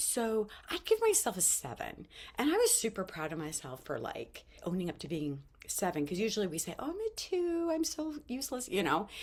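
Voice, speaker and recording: A woman's fairly high, somewhat breathy voice moves at a fairly quick pace with very wide pitch swings. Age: 50s. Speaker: vlogger sharing life lessons. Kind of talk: casual motivational talk to camera.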